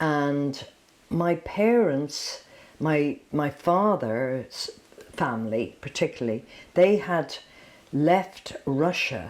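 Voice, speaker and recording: A woman's very deep, low voice in an Irish accent with lively intonation, a very slow pace, and long, frequent pauses. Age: 70s. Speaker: dancer. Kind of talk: casual chat.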